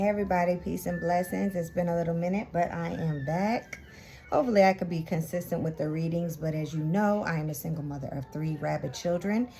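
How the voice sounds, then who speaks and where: Over noticeable background noise, a woman talks at a very fast pace. Her pitch is fairly low, with ordinary variation. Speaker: tarot reader. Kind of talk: tarot reading. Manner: casual.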